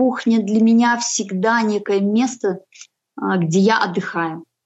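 Speaking in a normal speaking voice, she keeps a medium pitch for a woman and shows ordinary pitch variation. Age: 40s. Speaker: homemaker and freelancer on a healthy-eating journey. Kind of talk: casual interview.

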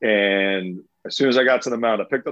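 A man is talking. His pitch is medium. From US South, Florida (St. Petersburg). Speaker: former pro baseball player. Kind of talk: casual interview storytelling. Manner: animated.

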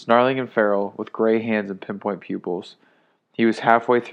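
Fairly even intonation in a natural reading voice, quiet background behind it

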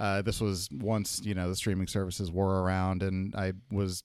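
On a very clean recording with a silent background, a man speaks with monotone, flat intonation. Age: 30s. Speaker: podcast co-host. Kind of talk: casual chat.

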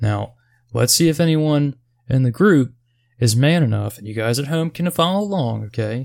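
Using a normal speaking voice, a man speaks at medium pitch with lively intonation. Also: moderate pace. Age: 30s. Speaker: video game podcast host. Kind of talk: casual chat.

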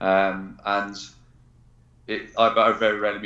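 A man speaks with an English accent, and audible room echo surrounds his voice. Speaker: military veteran and performance coach. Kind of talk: interview.

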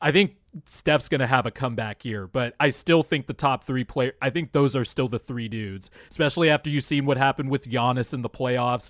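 In a very clean recording with a silent background, a man with an ordinary speaking voice talks at a moderate pace and medium pitch, with ordinary pitch variation. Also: dry, close sound with no echo. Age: 20s. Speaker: basketball podcast co-host. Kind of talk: casual chat.

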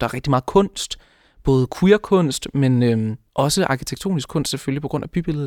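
A man with a normal speaking voice talks at a moderate pace with fairly high pitch and ordinary pitch variation, in a dry, close sound with no echo on a very clean recording with a silent background. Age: 20s. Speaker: law student. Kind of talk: interview.

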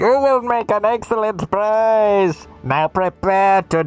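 A man's high-pitched, put-on character voice with ordinary pitch variation at a fairly slow pace, music in the background. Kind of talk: villain monologue. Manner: gloating, menacing, theatrical.

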